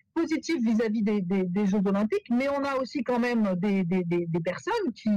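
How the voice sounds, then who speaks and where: A woman speaks at a fairly high pitch with music in the background. The sound is dry and close, with no echo. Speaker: professor. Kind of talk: webinar Q&A answer. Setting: video call webinar. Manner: halting, many repetitions and fillers.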